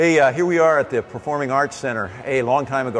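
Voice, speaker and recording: With music in the background, a man talks fairly quickly, his pitch varying in an ordinary way. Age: 60s. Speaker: high school coach and teacher. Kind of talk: casual guided tour talk to camera. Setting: walking tour of a school, partly outdoors. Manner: casual, hesitant with many fillers.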